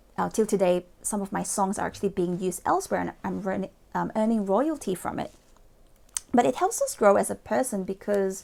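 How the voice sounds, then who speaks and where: The speaker talks at a fairly quick pace in a Malaysian accent. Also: woman. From Malaysia (Borneo). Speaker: motivational speaker and lawyer. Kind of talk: motivational talk to camera. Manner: hesitant, many fillers.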